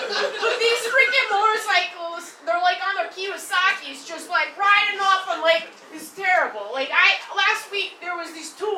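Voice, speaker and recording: A woman with a Chicago accent projects a raised voice at an extremely high pitch, with ordinary pitch variation and big swings in loudness. Noticeable background noise and audible room echo fill the recording. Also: moderate pace, hardly any pauses. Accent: Midwestern (Chicago). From US Midwest, Chicago. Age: 40s. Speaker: stand-up comedian. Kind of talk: stand-up. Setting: stage with audience. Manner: animated.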